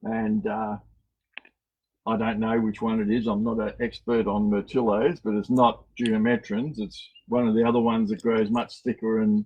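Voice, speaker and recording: A man has an unremarkable speaking voice at a medium pitch. He keeps a moderate pace and fairly even intonation. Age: 60s. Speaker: cactus nursery owner. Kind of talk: garden tour on a live stream.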